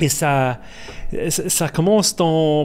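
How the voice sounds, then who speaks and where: A man with an Irish accent speaking at a very slow pace, music playing in the background. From Ireland. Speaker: guest sharing life testimony. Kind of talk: testimony interview. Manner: halting, many repetitions and hesitations.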